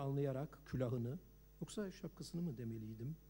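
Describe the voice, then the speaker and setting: A man speaks at a moderate pace with lively intonation. His tone is dark and mellow, and his voice is somewhat breathy. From Turkey. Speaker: novelist. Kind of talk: reading aloud.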